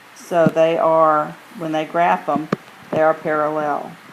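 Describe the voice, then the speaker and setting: Noticeable background noise sits under speech that unfolds at a very slow pace. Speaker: math teacher. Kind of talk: recorded lesson. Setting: screencast recording.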